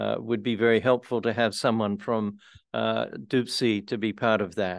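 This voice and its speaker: With an Australian accent, the speaker keeps a moderate pace and a monotone, flat intonation against a quiet background. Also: man, fairly low pitch for a man. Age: 80s. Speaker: retired priest and housing advocate. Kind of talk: community presentation.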